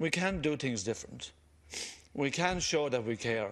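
A man's voice with vocal fry and lively intonation, at a moderate pace over a quiet background. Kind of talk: parliamentary speech. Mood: earnest, pleading. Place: hall. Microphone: podium.

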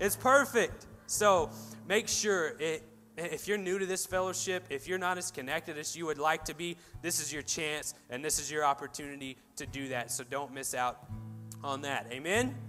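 The speech moves at a moderate pace with ordinary pitch variation. Faint music can be heard behind it. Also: man. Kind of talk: church announcements and offering talk, then prayer. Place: church.

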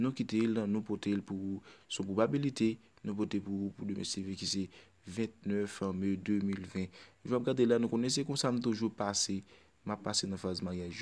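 With a Haitian accent, a man talks at a moderate pace, his fairly low voice carrying fairly even intonation. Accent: Haitian Creole speaker. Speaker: bingo number caller. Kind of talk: bingo number calling.

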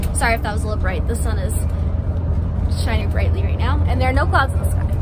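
Very fast speech over loud background noise. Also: woman. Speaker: family vlogger. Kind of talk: casual vlog chat. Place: car.

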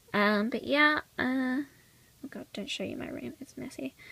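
A woman with a high pitch and a bright, sharp tone speaks at a moderate pace, croaky and with vocal fry, using ordinary pitch variation.

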